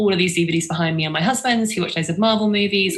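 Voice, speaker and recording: Clear background noise fills the recording. A woman's pitch moves in a normal, ordinary way as she talks. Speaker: film distribution company founder. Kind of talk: online talk.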